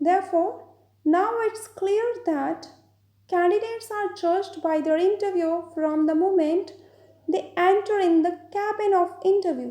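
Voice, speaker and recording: Using an extremely high pitch with a dark, mellow tone, a woman with an Indian accent talks at a moderate pace, with fairly even intonation and long, frequent pauses. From Punjab, India. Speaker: IELTS trainer. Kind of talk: educational lecture.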